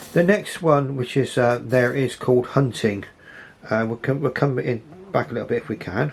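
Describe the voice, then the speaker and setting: Speaking with an English accent, a man has a medium pitch. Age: 60s. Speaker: model railway hobbyist. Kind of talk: casual video commentary. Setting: home model railway. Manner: halting.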